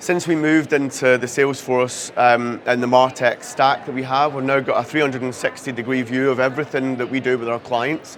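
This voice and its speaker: In a Scottish accent, the speaker talks at a very fast pace in a monotone, flat intonation over noticeable background noise. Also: man. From Scotland. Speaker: CRM and marketing technology lead. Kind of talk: conference talk.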